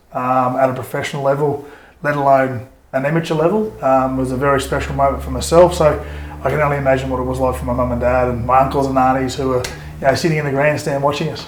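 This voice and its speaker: Audible room echo and noticeable background noise surround a man with an Australian accent. He talks at a very fast pace, medium in pitch, with fairly even intonation. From Queensland, Australia (Toowoomba). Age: 40s. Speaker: former rugby league player. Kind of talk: interview. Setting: podcast. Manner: halting, many fillers and restarts.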